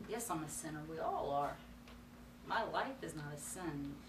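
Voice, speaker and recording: Against noticeable background noise, a woman talks at a moderate pace. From North Carolina. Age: 40s. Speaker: ministry student. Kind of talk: personal testimony. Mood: earnest, reflective. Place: classroom.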